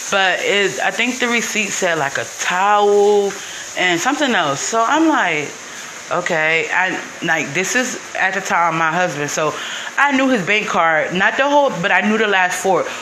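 Against noticeable background noise, a woman speaks with lively intonation and very even loudness. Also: medium pitch for a woman, moderate pace. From northern New Jersey. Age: 30s. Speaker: podcaster, stay-at-home mom. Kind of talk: personal storytelling monologue. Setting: home, washing dishes. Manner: casual, hesitant with many fillers.

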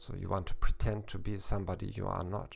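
A man with a German accent speaks at a fairly low pitch. His intonation is fairly even, with vocal fry. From Germany, Hamburg. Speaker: German teacher and podcast host. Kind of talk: educational monologue. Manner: hesitant, with fillers.

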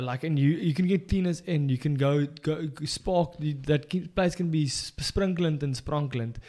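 This man with a South African accent has a dark, mellow tone and a fairly high pitch with ordinary variation. He speaks at a moderate pace on a very clean recording with a silent background. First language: Afrikaans. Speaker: podcast co-host. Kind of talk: casual chat. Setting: studio.

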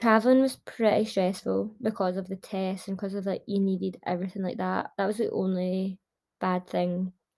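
With a Glasgow accent, a woman speaks at a moderate pace. Her medium-pitched voice is dark and mellow, with fairly even intonation. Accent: Scottish (Glasgow). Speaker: podcast host. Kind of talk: casual monologue.

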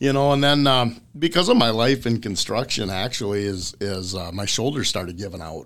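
Speaking with an Upper Midwest accent, a man uses lively intonation and hardly any pauses. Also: medium pitch for a man, moderate pace. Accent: Upper Midwest (Minnesota). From central Minnesota. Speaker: fishing guide. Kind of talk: casual chat.

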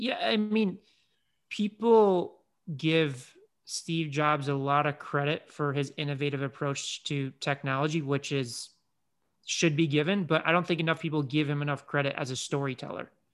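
Heard in a very clean recording with a silent background, the speaker has a plain, everyday voice and an American accent, moving at a moderate pace with ordinary pitch variation. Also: man, fairly high pitch for a man. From Chicago, US Midwest. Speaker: digital marketing agency CEO. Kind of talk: interview.

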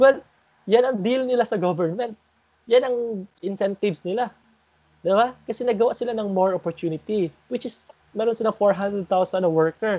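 Heard in a dry, close sound with no echo, a man has a high pitch and a dark, mellow tone. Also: ordinary pitch variation, moderate pace. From Philippines. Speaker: podcast host. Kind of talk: casual group discussion.

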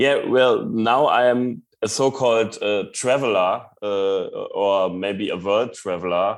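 A very slow-paced man in a German accent, medium in pitch with ordinary pitch variation. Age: 40s. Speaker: long-distance cyclist. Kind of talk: interview.

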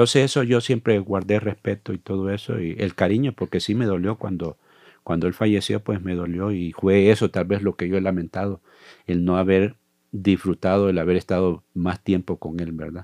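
Against a quiet background, a man with a very deep, low pitch and a dark, mellow tone speaks at a moderate pace with fairly even intonation, the sound dry and close with no echo. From El Salvador, La Libertad. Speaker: church ministry coordinator and missionary. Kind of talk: interview about life story.

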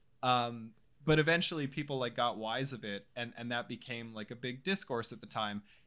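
A man with an ordinary speaking voice talks at a fairly quick pace with a medium pitch and ordinary pitch variation. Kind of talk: casual banter, comedic chat. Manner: joking, sarcastic.

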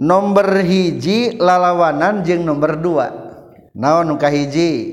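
With a West Javanese accent, a man speaks very slowly at a high pitch with ordinary pitch variation, and the room echo is audible. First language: Sundanese (speaking Indonesian). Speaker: Islamic religious teacher. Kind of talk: lecture.

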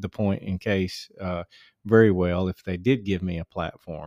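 The recording is very clean, with a silent background. A man speaks at a fairly slow pace in a very deep, low pitch with fairly even intonation. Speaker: pastor and podcast co-host. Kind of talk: devotional and casual chat.

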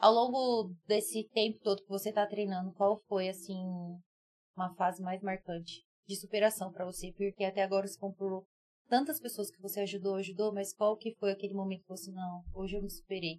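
In a plain, everyday voice, a woman talks at a fairly quick pace and a medium pitch, with big swings in loudness. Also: fairly even intonation. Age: 20s. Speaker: podcast co-host. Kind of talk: casual chat.

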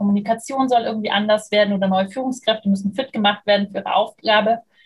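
A woman speaks at a very fast pace with a fairly high pitch. Her voice is somewhat breathy, her intonation fairly even. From Germany, Munich (Bavaria). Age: 30s. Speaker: communication and leadership trainer. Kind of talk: interview.

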